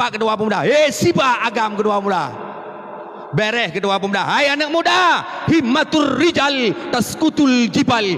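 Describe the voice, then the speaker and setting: A man with an Aceh accent, very wide pitch swings, and a moderate pace, amid noticeable background noise. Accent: Acehnese-accented Indonesian. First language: Acehnese (speaking Indonesian). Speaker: Islamic preacher. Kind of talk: sermon.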